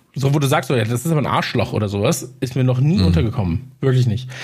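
Speaking at a fairly quick pace, a man with a medium pitch sounds somewhat breathy and uses lively intonation. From Munich, Bavaria. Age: 30s. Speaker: podcaster. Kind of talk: casual interview chat.

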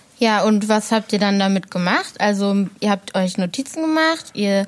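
Medium-pitched speech from a woman at a moderate pace, lively in intonation, against noticeable background noise. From Ruhr area, Essen. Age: 20s. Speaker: project assistant. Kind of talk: interviewing.

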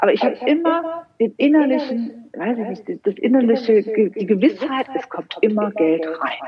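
A woman speaks at a fairly slow pace in a fairly high voice, her pitch swinging very widely. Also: hardly any pauses. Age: 50s. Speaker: money mindset coach. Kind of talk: interview. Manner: halting, many repetitions.

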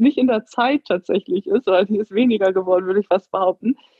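Speaking at a moderate pace, a woman uses an ordinary speaking voice at a medium pitch. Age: 30s. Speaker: empowerment coach and yoga teacher. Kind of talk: interview.

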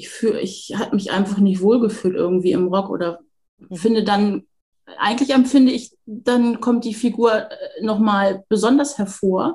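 A woman speaks at a moderate pace with a dark, mellow, somewhat breathy tone. Her pitch is medium, with ordinary variation. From northern Germany, near Hamburg. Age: 40s. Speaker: home sewing hobbyist. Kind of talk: casual interview chat. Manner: halting, many fillers.

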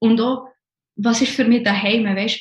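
Fairly high in pitch and somewhat breathy, a woman speaks at a fairly quick pace with fairly even intonation. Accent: Bernese. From Switzerland, Bern. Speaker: former banker, podcast guest. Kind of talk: casual interview chat. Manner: halting, many fillers and restarts.

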